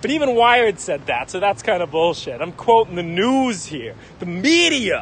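A man speaks at a moderate pace in a high voice with lively intonation, the sound dry with no echo and light background noise behind him. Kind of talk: casual livestream chat. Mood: joking, irreverent. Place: street.

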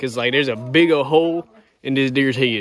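In a dry sound with no echo, a man talks at a fairly quick pace with fairly even intonation. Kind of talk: casual vlog chat. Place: garden. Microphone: phone near.

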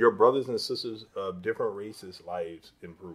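A man with an American accent speaks with very wide pitch swings. The recording is very clean, with a silent background. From Chicago, west side (Austin). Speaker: state politician. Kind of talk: interview. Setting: in his office.

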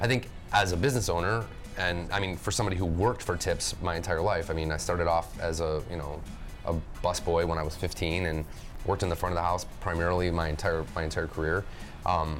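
Clear music plays in the background as a man with a very deep, low pitch talks at a very fast pace with ordinary pitch variation. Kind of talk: roundtable discussion. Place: cafe. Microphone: lapel.

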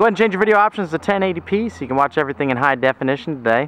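A man speaks at a very fast pace with very wide pitch swings, in a dry sound with no echo. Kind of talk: property tour commentary. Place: street. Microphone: phone near.

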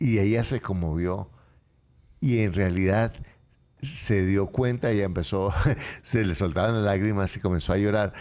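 A man's fairly low, dark, mellow voice at a fairly slow pace, with very even loudness, ordinary pitch variation and long, frequent pauses. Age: 60s. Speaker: motivational speaker and author; financial coach guest. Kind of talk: interview. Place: studio. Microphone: studio mic.

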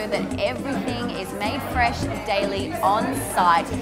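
Loud music plays in the background. A woman speaks over it. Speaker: review show host. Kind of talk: presenter review to camera. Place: cafe. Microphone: lapel.

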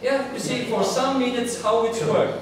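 A man speaks at an extremely high pitch. Strong room echo and noticeable background noise surround him. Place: hall.

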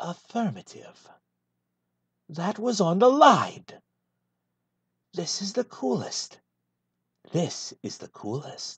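In a put-on character voice at a middle pitch, the speaker goes very slowly with long, frequent pauses against a quiet background. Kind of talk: comedic full script read in a character voice.

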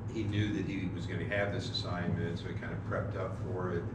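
Through loud background noise and audible room echo, a man speaks with ordinary pitch variation. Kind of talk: informal lecture. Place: church. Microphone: camera far.

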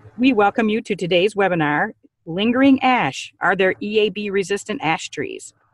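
A woman talks at a moderate pace with ordinary pitch variation. The sound is dry with no echo, and the background is quiet. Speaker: webinar host. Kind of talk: scripted introduction and announcements. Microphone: video call.

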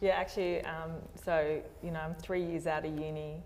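A woman speaks in a monotone with flat intonation. Light background noise can be heard. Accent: Australian. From Australia. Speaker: structural engineer; panelist. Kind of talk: panel discussion. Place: hall.

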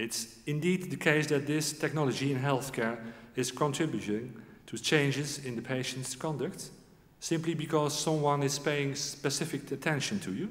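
A man talks at a moderate pace, his voice somewhat breathy and his pitch varying in an ordinary way. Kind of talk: formal ceremony speech. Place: hall. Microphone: podium.

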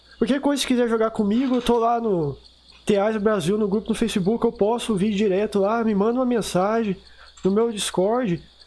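Speaking at a fairly quick pace, a man with a high pitch keeps his intonation fairly even. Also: very even loudness, quiet background. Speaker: gaming youtuber. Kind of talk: gameplay commentary. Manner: fast; casual, unpolished.

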